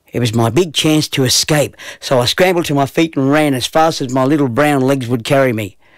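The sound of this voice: The clip has an unforced reading voice.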